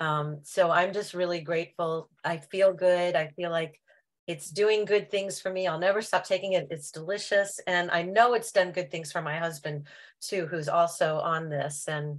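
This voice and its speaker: A plain, everyday voice from a woman, fairly low in pitch, with fairly even intonation at a moderate pace, on a very clean recording with a silent background. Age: 60s. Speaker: product user giving testimony. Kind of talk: testimony.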